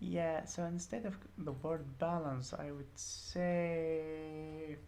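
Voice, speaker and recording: With audible room echo, a woman with a non-native accent talks at a very slow pace in a very deep, low voice, her intonation fairly even. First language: not English. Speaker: programming tutor. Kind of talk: tutorial. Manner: hesitant, many fillers.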